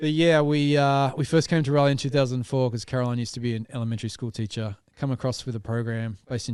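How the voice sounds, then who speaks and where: Against a quiet background, a man with an Australian accent talks at a fairly quick pace with fairly even intonation. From Australia, small town north of Sydney. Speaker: podcast co-host. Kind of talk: casual chat.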